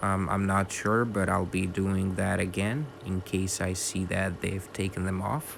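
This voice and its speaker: With a non-native accent and a very deep, low pitch, a man talks at a fairly slow pace with hardly any pauses, fairly even intonation and very even loudness. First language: not English. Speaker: bird keeper, video creator. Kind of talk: voiceover narration. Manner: halting, many fillers.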